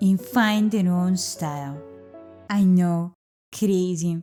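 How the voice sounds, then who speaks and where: Music plays in the background as a woman speaks at a very slow pace. She has a strong Eastern European accent. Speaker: gaming YouTuber. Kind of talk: comedic video game commentary narration.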